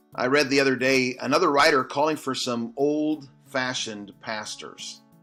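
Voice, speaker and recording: With music in the background, a man speaks at medium pitch and a moderate pace with fairly even intonation. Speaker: Baptist pastor. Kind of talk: short Bible study devotional.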